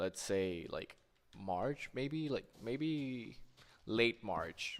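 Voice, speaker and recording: Here a man speaks with a Spanish accent at a very slow pace. His pitch varies in an ordinary way. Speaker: gaming streamer. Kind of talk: casual chat while gaming.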